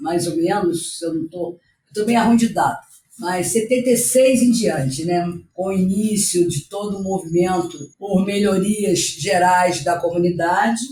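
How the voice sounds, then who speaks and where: With music in the background, a woman speaks at a fairly slow pace and a medium pitch, with ordinary pitch variation. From Rio de Janeiro, Brazil (Rocinha favela). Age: 60s. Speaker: community activist and educator. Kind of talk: podcast interview.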